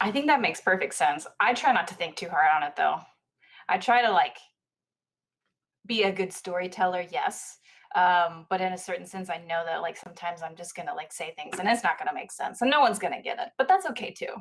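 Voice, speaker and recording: A woman talks at medium pitch with lively intonation. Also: fairly quick pace. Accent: slight country. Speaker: singer-songwriter guest. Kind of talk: casual chat.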